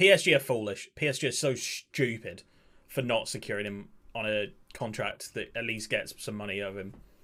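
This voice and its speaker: A man talks with an English accent in a bright, sharp tone. The recording is very clean, with a silent background. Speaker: video game streamer. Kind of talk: casual game commentary. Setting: live stream. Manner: stumbling over words.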